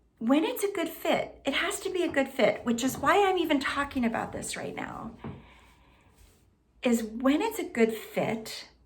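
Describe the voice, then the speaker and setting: The woman's pitch is high and swings very widely. Audible room echo is present. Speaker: health and wellness coach. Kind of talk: self-introduction to camera. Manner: slow; pauses, lets there be quiet.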